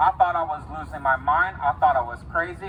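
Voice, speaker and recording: Noticeable background noise runs under the clip. A man speaks at a moderate pace with a fairly high pitch. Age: 20s. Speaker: rally speaker. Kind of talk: testimony. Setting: outdoor rally at the state capitol.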